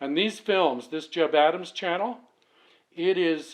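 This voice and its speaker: Against a quiet background, a man talks at a fairly slow pace. His pitch variation is ordinary. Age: 60s. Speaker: channel owner, sewing machine restorer. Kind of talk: tutorial. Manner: casual, halting.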